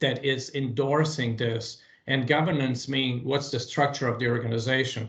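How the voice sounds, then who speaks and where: A man with a non-native accent speaks at a moderate pace in a fairly high, somewhat breathy voice. His intonation is fairly even. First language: not English. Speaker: meeting presenter. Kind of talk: work meeting discussion. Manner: halting, many fillers.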